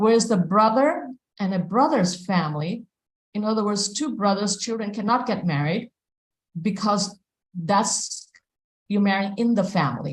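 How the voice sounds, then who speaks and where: A woman speaks at a moderate pace and a medium pitch, with long, frequent pauses. Her intonation is lively and her voice is somewhat breathy. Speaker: devotional class speaker. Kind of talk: scripture class lecture. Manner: halting with fillers.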